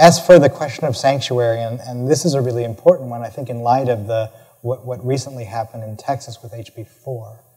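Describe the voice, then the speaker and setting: This man's voice has a dark, mellow tone, a medium pitch and a somewhat breathy quality. He talks at a fairly quick pace, with big swings in loudness. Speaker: professor of education. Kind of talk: lecture Q&A answer. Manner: halting, many fillers and repetitions.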